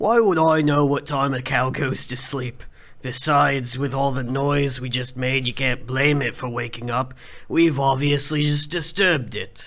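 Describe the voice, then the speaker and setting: A raspy, put-on character voice with fairly even intonation at a moderate pace over light background noise. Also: man, medium pitch for a man. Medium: audio drama. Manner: measured, level-headed.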